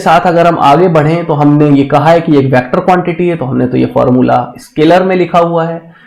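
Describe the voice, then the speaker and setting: High male voice with ordinary pitch variation amid noticeable background noise. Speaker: physics teacher. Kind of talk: lecture. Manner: slow.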